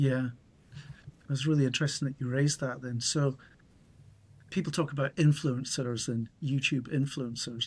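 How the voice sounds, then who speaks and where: In a very clean recording with a silent background, a man with a British accent talks at a moderate pace in a medium pitch, somewhat breathy and with monotone, flat intonation. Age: 60s. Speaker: YouTuber on solar energy, retired. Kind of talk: interview conversation. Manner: clear, measured.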